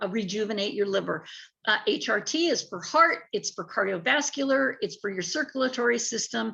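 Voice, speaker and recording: A woman with an ordinary speaking voice, a fairly high pitch and lively intonation talks at a moderate pace. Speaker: network marketing sales rep. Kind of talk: sales pitch.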